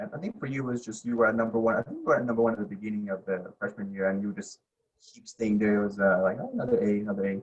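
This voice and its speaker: Very fast and fairly low in pitch, a man speaks with fairly even intonation and big swings in loudness. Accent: non-native. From abroad, came to US at age ten. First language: not English. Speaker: podcast guest, college student. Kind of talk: casual chat.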